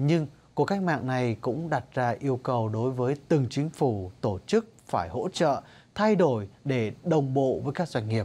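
On a very clean recording with a silent background, a man with a dark, mellow tone and medium pitch speaks at a fairly slow pace with lively intonation. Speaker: radio news reporter. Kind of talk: news reading.

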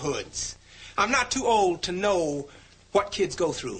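Speaking at a moderate pace, a man uses a raised, projected voice with a bright, sharp tone and lively intonation. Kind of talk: scripted educational monologue. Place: classroom.

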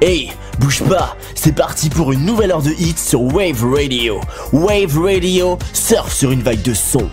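Clear music sounds behind the voice. A man delivers his words at a fairly slow pace. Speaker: voice actor. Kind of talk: radio station promo. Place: studio. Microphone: studio mic.

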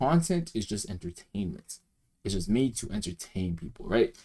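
This man's voice swings very widely in pitch. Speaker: reaction streamer. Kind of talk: casual commentary. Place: home room. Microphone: headset.

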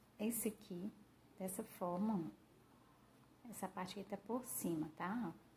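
The somewhat breathy voice has a dark, mellow tone and fairly even intonation at a fairly slow pace. Long, frequent pauses break it up, and light background noise is present. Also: woman. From Brazil. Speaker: craft tutorial youtuber; craft tutor. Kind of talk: tutorial. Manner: casual, warm, with many diminutives. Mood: calm, friendly.

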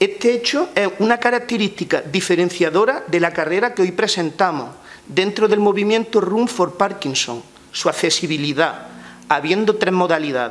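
A man speaks in a high pitch with lively intonation. His pace is moderate. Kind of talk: press conference statement. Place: meeting room. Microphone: podium.

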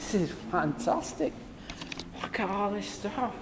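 Over audible room echo, a man speaks high and at a fairly slow pace, his intonation lively.

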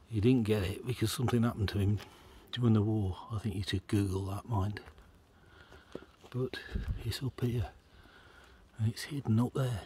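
Over light background noise, a man speaks with long, frequent pauses in a dark, mellow, somewhat breathy tone, his intonation fairly even and the sound dry with no echo. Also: fairly low pitch for a man, moderate pace. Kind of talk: casual vlog commentary. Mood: relaxed, admiring. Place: forest. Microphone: phone near.

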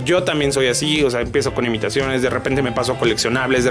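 A man speaking, with clear music in the background. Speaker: voice actor and voice impressionist, YouTuber. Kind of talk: interview answer. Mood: relaxed, joking. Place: home room.

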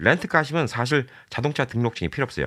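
At a very fast pace, a man speaks with vocal fry at a medium pitch. The recording is very clean, with a silent background. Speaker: YouTuber giving immigration advice. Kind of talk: informational vlog monologue. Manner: casual, conversational with filler words.

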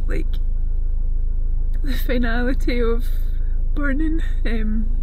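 Lively intonation stands out over light background noise. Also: woman. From Scotland. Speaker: animal sanctuary owner. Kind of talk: casual talk to camera. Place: car. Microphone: phone near.

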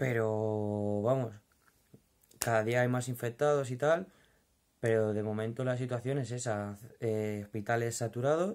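Against a quiet background, a man with a Madrid accent speaks at a fairly slow pace with fairly even intonation and long, frequent pauses. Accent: Madrid Spanish (castizo). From Madrid, Spain. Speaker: vlogger, furniture company worker. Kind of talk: casual vlog monologue. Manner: informal, hesitant with fillers. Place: home room. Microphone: phone near.

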